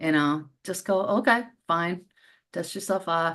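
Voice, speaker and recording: Against a quiet background, a woman speaks at a fairly low pitch with ordinary pitch variation. She has an unremarkable speaking voice. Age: 60s. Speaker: business owner. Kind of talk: interview.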